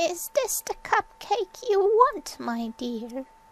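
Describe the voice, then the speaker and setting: In a squeaky, put-on character voice at an extremely high pitch, a woman projects loudly at a very slow pace, her pitch swinging very widely. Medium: read story.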